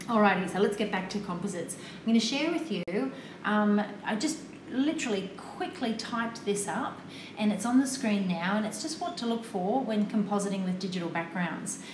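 Over noticeable background noise, a woman talks at a moderate pace with a fairly high pitch and lively intonation. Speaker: photography tutor hosting a live stream. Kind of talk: casual instructional. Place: studio.

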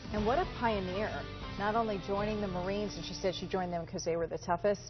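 A woman talking at a very fast pace over clear background music. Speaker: TV news anchor. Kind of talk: news anchor read and banter. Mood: warm upbeat. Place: studio.

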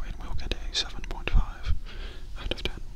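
Whispering at a moderate pace, a man can be heard. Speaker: comedic reviewer. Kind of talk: deadpan review commentary. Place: home room. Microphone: handheld.

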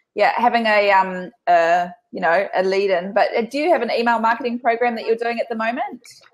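A woman with a New Zealand accent talks at a fairly quick pace with hardly any pauses. Her pitch is fairly high, and the background is quiet. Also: lively intonation. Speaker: business coach and panel host; business coach, panel host. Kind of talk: casual panel chat. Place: home room. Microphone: video call.

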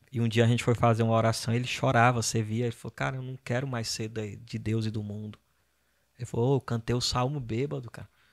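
On a very clean recording with a silent background, a man talks at a very fast pace with fairly even intonation. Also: medium pitch for a man. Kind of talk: casual chat.

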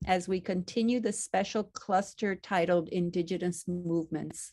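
Fairly even intonation in a dark, mellow tone, with very even loudness over a quiet background. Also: woman. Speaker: university department host. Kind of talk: formal welcome and introductions. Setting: video call webinar. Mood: warm, formal. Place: home room.

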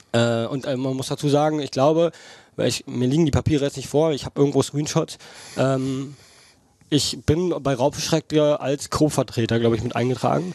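The pace is moderate. The sound is dry with no echo, against a quiet background. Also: man, fairly high pitch for a man, fairly even intonation. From Brandenburg, Germany. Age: 20s. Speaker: angling YouTuber; podcast guest. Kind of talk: interview. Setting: outdoor backyard. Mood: earnest, personal confession. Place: home room. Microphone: headset.

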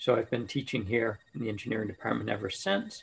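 With light background noise, a man talks at a fairly quick pace. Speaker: engineering professor. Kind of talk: panel self-introduction. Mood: friendly, relaxed. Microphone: video call.

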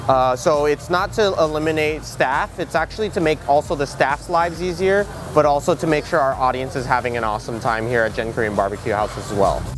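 Clear music plays in the background as a man talks at a fairly quick pace with hardly any pauses, the sound dry with no echo. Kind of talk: interview answer. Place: cafe. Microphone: lapel.

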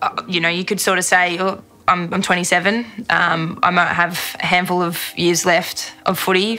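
Against faint background music, a woman with a fairly low voice speaks slowly in a monotone, flat delivery. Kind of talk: interview answer. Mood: reflective, sincere. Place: studio. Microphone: studio mic.

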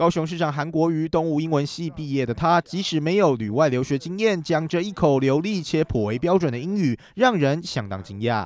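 A man has a normal speaking voice with a fairly high pitch. He talks at a moderate pace with lively intonation. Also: hardly any pauses. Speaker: news reporter. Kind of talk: TV news report narration.

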